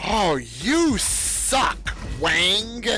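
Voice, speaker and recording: This is a put-on character voice. Background noise is clearly audible. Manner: insulting, exclaiming.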